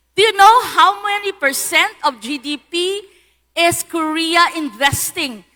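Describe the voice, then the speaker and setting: Raising and projecting her voice, a woman speaks at an extremely high pitch in a bright, sharp tone with lively intonation. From Philippines, Iloilo (Western Visayas). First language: Hiligaynon (Ilonggo). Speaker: lawyer and digital policy speaker. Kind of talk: conference talk.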